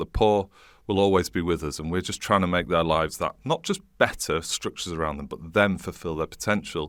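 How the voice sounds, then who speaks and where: A man's very deep, low voice at a very fast pace, in a very clean recording with a silent background. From northern England, Leeds. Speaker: charity and think tank chief executive. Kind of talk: interview conversation. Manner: animated.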